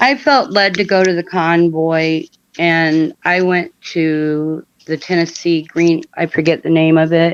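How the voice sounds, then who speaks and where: Against a quiet background, a woman with an unremarkable speaking voice speaks fairly slowly at a fairly low pitch with fairly even intonation. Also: dry, close sound with no echo. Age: 60s. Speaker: caller. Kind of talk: casual chat.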